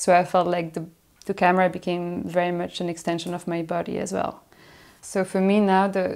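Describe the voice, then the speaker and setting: A woman with a French accent, monotone and flat in intonation, at a fairly quick pace, on a very clean recording with a silent background. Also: fairly low pitch for a woman. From Belgium, Brussels. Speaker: filmmaker. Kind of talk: interview.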